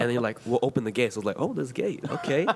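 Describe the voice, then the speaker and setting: There is noticeable noise behind the man, whose voice is at a medium pitch. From San Diego area, Chula Vista. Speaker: podcast co-host. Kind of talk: casual interview chat.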